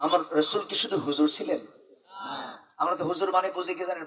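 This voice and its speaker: The delivery keeps a fairly level intonation. It is an unremarkable speaking voice. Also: man. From Dhaka, Bangladesh. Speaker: Islamic preacher giving a waz sermon. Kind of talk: public religious sermon to a live crowd. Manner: rhetorical, engaging the audience with questions and call-and-response.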